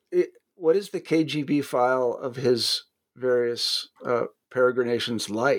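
The man speaks at a medium pitch with ordinary pitch variation. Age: 60s. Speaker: podcast network editor and host. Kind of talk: interview. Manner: fast.

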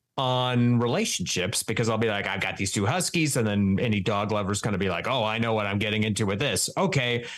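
Audible room echo colors a man's fairly low voice as he talks at a very fast pace, with ordinary pitch variation and very even loudness. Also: hardly any pauses. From Wyoming. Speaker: comedian and writer. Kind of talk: casual chat.

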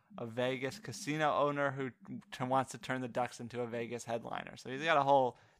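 An unforced reading voice carries a fairly even intonation.

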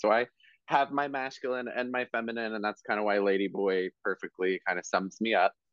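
A man with a fairly low pitch and an American accent, using a normal speaking voice with ordinary pitch variation at a moderate pace. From South Jersey, US. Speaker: hairstylist and educator. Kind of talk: casual interview.

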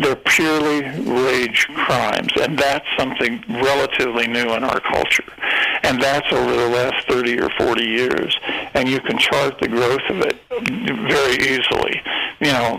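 An American accent marks this man's speech, set at a medium pitch with ordinary variation and very even loudness. He talks at a fairly slow pace over noticeable background noise. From US Midwest, eastern Kansas. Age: 70s. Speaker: true crime author and journalist. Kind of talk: interview.

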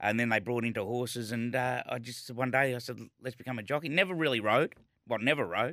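A man with an Australian accent and a bright, sharp tone, at a very fast pace on a very clean recording with a silent background. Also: medium pitch for a man, ordinary pitch variation. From Melbourne, Australia. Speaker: former jockey and racing broadcaster. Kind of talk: interview.

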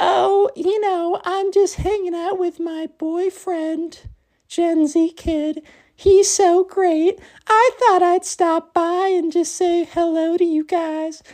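A put-on character voice at a very slow pace. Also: man, extremely high pitch for a man. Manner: cheerful, breezy.

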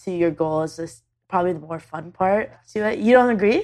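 A woman with a Canadian accent uses a normal speaking voice. She talks at a fairly quick pace with lively intonation. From Canada. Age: 20s. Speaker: YouTube video creator. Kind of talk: casual chat. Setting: on a couch in the same room as host.

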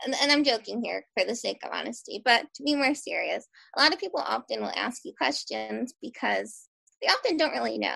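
Speaking at a fairly quick pace, a woman with an American accent swings widely in loudness. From Philadelphia. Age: young. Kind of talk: casual interview.

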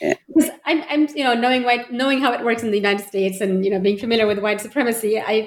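Speaking very fast, a woman uses a fairly high pitch with ordinary pitch variation. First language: Pashto. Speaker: podcast co-host. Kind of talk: academic interview. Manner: halting.

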